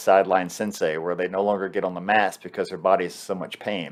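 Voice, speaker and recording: Over a quiet background, a man uses an ordinary speaking voice, talking at a fairly quick pace with fairly even intonation. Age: 50s. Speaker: martial arts instructor and interviewer. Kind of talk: interview.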